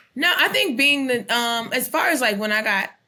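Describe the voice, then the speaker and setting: A woman's unremarkable speaking voice, moderate in pace, with lively intonation. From US, military family, moved around. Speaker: comedian. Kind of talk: casual chat.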